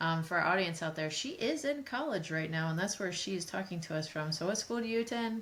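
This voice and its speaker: At a very fast pace, a woman talks with lively intonation and a medium pitch. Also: hardly any pauses. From rural farming community. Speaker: podcast co-host, app company executive. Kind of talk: casual interview.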